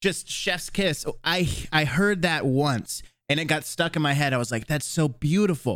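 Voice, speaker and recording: A man with a plain, everyday voice talks at a fairly high pitch and a moderate pace. His loudness stays very even, and his pitch varies an ordinary amount. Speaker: podcast host. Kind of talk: casual chat.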